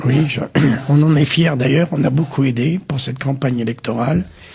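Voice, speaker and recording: A man with a fairly high pitch talks at a moderate pace, his pitch variation ordinary. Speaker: community volunteer, kashrut worker. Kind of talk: TV interview.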